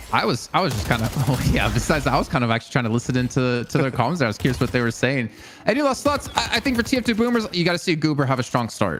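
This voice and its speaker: Against noticeable background noise, a man at medium pitch talks very fast with lively intonation and very even loudness. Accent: American. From US South, Arkansas. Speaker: esports analyst. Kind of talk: live esports commentary.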